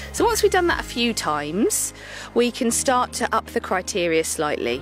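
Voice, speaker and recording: A woman's voice comes through dry with no echo, with music in the background. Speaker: dog trainer. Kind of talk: tutorial. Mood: calm, patient. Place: open country.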